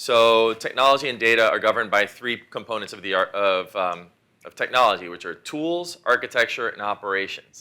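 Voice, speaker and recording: A man's medium-pitched voice carries a bright, sharp tone and ordinary pitch variation. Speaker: technology lawyer, keynote speaker. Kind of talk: conference keynote presentation. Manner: fast.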